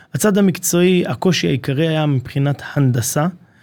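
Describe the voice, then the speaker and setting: The recording is very clean and the background silent. A man's pitch varies in an ordinary way as he speaks. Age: 30s. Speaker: construction company marketing manager. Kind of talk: casual interview. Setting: studio.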